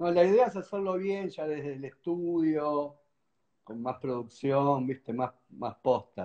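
Against a quiet background, a man talks very slowly with lively intonation. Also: fairly high pitch for a man. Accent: Rioplatense. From Argentina. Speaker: musician and interviewer; interviewer. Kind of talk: casual chat. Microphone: video call.

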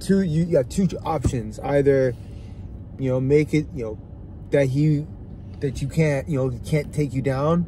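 A man talks at a moderate pace with fairly even intonation and long, frequent pauses, his voice somewhat breathy. The sound is dry with no echo, with light background noise. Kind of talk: casual sports commentary chat. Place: car. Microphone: phone near.

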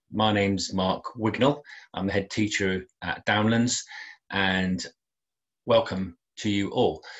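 At a fairly slow pace, a man with a fairly low pitch and ordinary pitch variation speaks against a quiet background. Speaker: school head teacher. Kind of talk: formal welcome address to parents. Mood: warm, slightly apologetic. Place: garden. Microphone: webcam.

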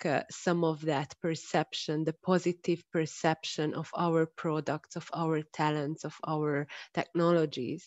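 In a Hungarian accent, a woman with a fairly low pitch speaks at a very slow pace, the sound dry with no echo over a quiet background. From Hungary. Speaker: industry-university relations expert; speaker. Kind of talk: online panel discussion. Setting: video call. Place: home room. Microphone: earbuds.

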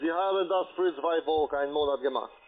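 This man talks at a fairly quick pace with a fairly high pitch. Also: ordinary pitch variation.

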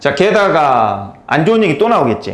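Very wide pitch swings in a man's voice, delivered at a moderate speed. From South Korea. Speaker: English tutor. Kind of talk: lecture. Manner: casual, conversational. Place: classroom. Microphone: lapel.

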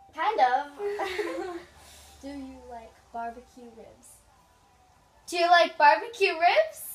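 A woman with an extremely high pitch talks at a very slow pace, leaving long, frequent pauses, her pitch swinging very widely and her loudness rising and falling sharply, with music in the background. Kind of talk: casual talk to camera.

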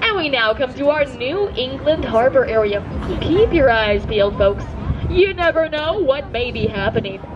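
A woman's high voice with very wide pitch swings, at a moderate pace, with crowd noise in the background. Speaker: theme park boat ride guide. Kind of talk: scripted theme park boat-tour spiel with corny jokes. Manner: hammy, upbeat showman's patter, constantly calling out to folks; audience-prodding, pausing for punchlines and crowd responses. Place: boat.

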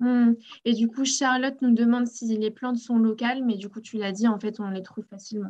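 Flat, monotone intonation runs through speech delivered at a fairly quick clip. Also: woman, fairly high pitch for a woman. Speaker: community manager and webinar host; webinar host. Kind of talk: webinar hosting. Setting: video call. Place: home room. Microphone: webcam.

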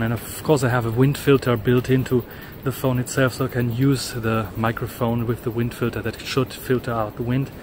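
A man at a fairly quick pace in a monotone, flat intonation, with noticeable background noise. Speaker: tech vlogger. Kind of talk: walking vlog. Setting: outdoors. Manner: loud.

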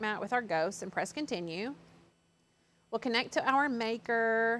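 At a moderate pace, a woman with a fairly high pitch speaks with ordinary pitch variation. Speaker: craft channel host. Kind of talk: live craft tutorial. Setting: studio. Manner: chatty. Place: studio.

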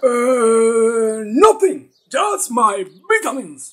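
Putting on a cartoonish character voice, a man speaks very slowly at an extremely high pitch with very wide pitch swings.

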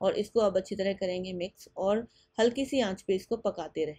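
A woman's medium-pitched voice, dark and mellow in tone, with ordinary pitch variation at a moderate pace.

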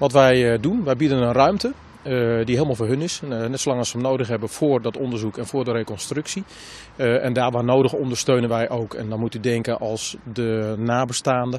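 A man speaks with fairly even intonation, the sound dry and free of echo. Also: fairly quick pace. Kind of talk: interview answer. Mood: serious, calm. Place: street.

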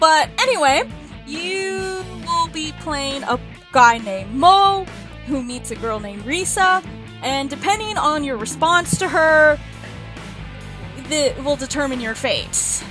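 A woman speaks in a high pitch with very wide pitch swings, big swings in loudness and long, frequent pauses at a fairly slow pace. Clear music plays behind her in a dry sound with no echo. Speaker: indie game developer and hobby voice actor. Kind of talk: casual let's play commentary. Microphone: headset.

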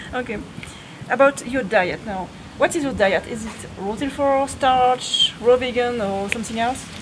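A woman with a high pitch talks at a moderate pace with ordinary pitch variation. Her loudness swings widely, and there is noticeable background noise. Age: 30s. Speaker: vegan fitness youtuber. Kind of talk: casual interview. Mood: relaxed, playful. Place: garden.

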